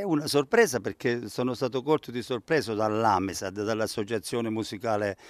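A man speaks at a moderate pace and medium pitch, with ordinary pitch variation. The sound is dry with no echo, over a quiet background. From southern Italy, Cilento (Campania); southern Italy. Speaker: accordion teacher. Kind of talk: interview. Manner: hesitant, many fillers. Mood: pleased, modest. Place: garden. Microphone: handheld.

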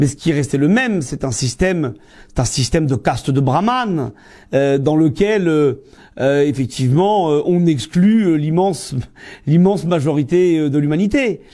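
The man's voice is fairly high in pitch, with a dark, mellow tone. He talks at a fairly slow pace. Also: lively intonation, quiet background. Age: 40s. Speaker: history teacher and trade unionist; history teacher. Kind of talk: interview monologue. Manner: hesitant, many filler sounds. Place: office.

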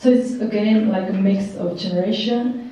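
Strong room echo surrounds a voice with a Czech accent that moves at a fairly slow pace with fairly even intonation. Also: woman. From Czech Republic. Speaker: art curator and art historian; speaker. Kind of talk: presentation. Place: hall.

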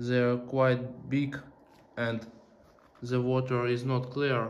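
The speaker is a man. He talks at a very slow pace. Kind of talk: casual vlog commentary. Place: tunnel cave. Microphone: phone near.

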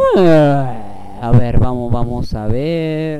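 Dark, mellow tone from a man with lively intonation, a dry sound with no echo, and light background noise. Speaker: gaming YouTuber; gamer. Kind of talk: let's play commentary. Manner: animated. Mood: playful, joking. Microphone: headset.

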